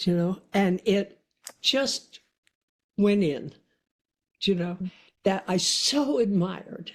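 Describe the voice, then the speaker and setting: A woman's fairly low voice with lively intonation at a very slow pace. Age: 80s+. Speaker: author. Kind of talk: interview answer.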